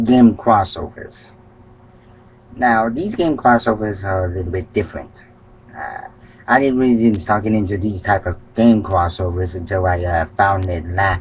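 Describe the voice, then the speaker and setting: Pausing long and often, a man talks at a moderate pace in a somewhat breathy voice with a fairly low pitch. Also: ordinary pitch variation. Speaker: fan fiction writer, vlogger. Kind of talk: casual vlog monologue. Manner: halting, loses track.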